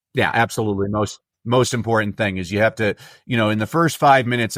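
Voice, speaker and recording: A man with an American accent speaks very fast at a fairly low pitch with ordinary pitch variation, on a very clean recording with a silent background and a dry, close sound with no echo. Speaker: keynote speaker and coach. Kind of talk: podcast interview. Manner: animated.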